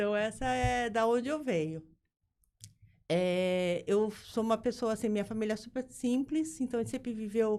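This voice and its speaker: Lively intonation marks a woman's fairly high voice with a dark, mellow tone. The recording is very clean, with a silent background. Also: moderate pace. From Brazil, São Paulo city. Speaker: business founder and board advisor. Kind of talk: interview.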